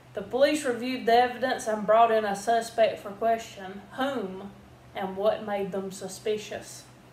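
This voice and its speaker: A woman with a fairly high voice and an American accent speaks at a moderate pace with fairly even intonation. Her loudness swings widely, and there is noticeable background noise. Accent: Southern US, thicker when drinking. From US South. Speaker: video host. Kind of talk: reading aloud.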